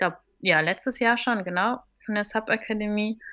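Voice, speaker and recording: Against a quiet background, a woman with a fairly high pitch and a bright, sharp tone speaks at a moderate pace, with ordinary pitch variation. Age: 30s. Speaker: stand-up paddling instructor. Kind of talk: casual interview. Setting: remote call.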